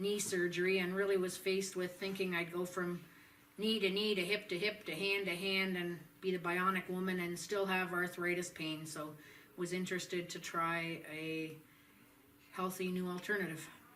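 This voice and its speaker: A woman at medium pitch with monotone, flat intonation, amid audible room echo and noticeable background noise. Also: moderate pace. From southern Ontario, Canada. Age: 60s. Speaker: patient. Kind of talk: testimony. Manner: halting, with many fillers.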